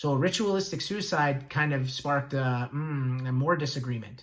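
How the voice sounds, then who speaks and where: Amid audible room echo, a man with a fairly high pitch talks at a fairly quick pace. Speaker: school teacher. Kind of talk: lecture. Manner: fast.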